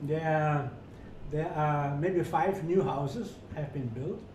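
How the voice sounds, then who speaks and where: A man talks at a fairly high pitch. Noticeable background noise and audible room echo fill the recording. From rural Germany. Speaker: hotel executive. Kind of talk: interview. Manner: halting.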